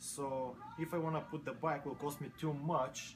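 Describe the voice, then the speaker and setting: A man speaks with a non-native accent at a fairly high pitch. Noticeable background noise runs behind him. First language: not English. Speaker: motorcycle mechanic. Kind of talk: interview.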